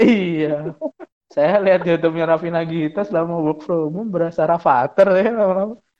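Here a man speaks with a high pitch at a fairly quick pace. His intonation is fairly even. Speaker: podcast co-host. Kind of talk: casual chat.

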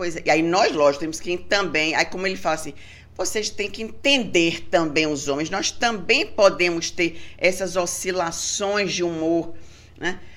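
With a plain, everyday voice, a woman speaks at a moderate pace and a fairly low pitch, with ordinary pitch variation. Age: 50s. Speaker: gynecologist and breast specialist. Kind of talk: casual interview.

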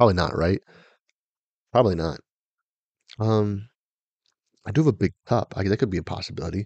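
A man talks at a fairly quick pace with a fairly low pitch and ordinary pitch variation, broken by long, frequent pauses. The sound is dry and close, with no echo. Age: 20s. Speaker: podcast host. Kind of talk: casual chat. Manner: hesitant, many fillers.

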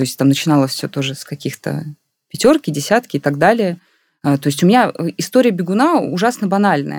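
Recorded very cleanly against a silent background, a woman speaks at a moderate pace with very wide pitch swings and a dry, close sound with no echo. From Russia, Moscow region (Khimki). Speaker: communications director and runner. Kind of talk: casual interview. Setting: studio.

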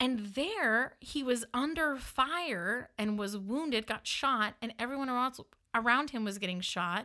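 Speaking fairly slowly in a northern US accent, a woman uses a high pitch, an animated tone and lively intonation in a very clean recording with a silent background. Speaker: podcast host. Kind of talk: personal storytelling. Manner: animated, laughs often.

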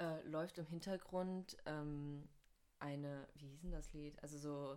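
A woman speaks with a very deep, low pitch and monotone, flat intonation. Her pace is very slow, broken by long, frequent pauses. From North Rhine-Westphalia, Germany. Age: 20s. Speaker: university student. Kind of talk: casual chat.

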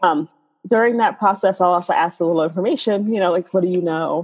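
A normal speaking voice: a woman with an American accent talking at a medium pitch with ordinary pitch variation. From New York City, South Bronx. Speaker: astrologer and tarot reader. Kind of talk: casual interview chat.

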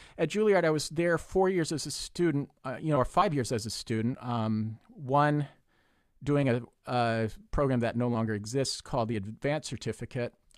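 In a plain, everyday voice, a man with an American accent speaks at a moderate pace and medium pitch with lively intonation, in a very clean recording with a silent background. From Texas. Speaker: music professor and violist. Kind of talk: casual chat.

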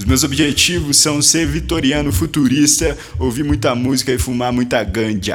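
A man with a medium pitch talks with lively intonation and hardly any pauses. Noticeable background noise runs behind him. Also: moderate pace. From Paraná, Brazil (Guarapuava). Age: 20s. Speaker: podcast host. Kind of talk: casual chat. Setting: studio.

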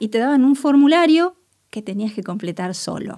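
The recording is very clean with a silent background, and the woman's lively intonation unfolds at a moderate pace. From Buenos Aires, Argentina. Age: 50s. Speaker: chemist and researcher. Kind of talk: interview. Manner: hesitant, many fillers.

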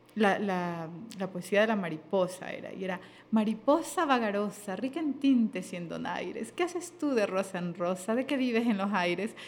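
A woman's fairly high voice with lively intonation. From Ecuador, Sierra and coast. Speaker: radio host and voiceover artist. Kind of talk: casual interview conversation. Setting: studio.

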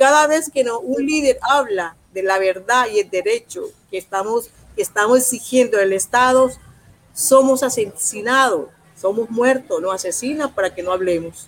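A woman speaks in an unremarkable speaking voice at a fairly high pitch. Her pace is moderate. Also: lively intonation. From Colombia, Urabá region. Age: 50s. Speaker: social leader and political candidate. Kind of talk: interview.

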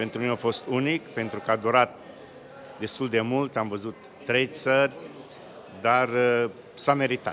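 Over noticeable background noise, a man speaks at a medium pitch and a fairly slow pace, his intonation fairly even and his speech broken by long, frequent pauses. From Romania, Bistrița area. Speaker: pilgrim, church member. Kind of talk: interview. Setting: outdoors.

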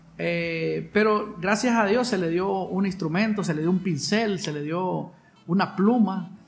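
Audible room echo surrounds a man speaking fairly slowly at a high pitch with fairly even intonation. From Honduras, San Pedro Sula. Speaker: violinist and composer. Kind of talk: interview. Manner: halting, with frequent repetitions.

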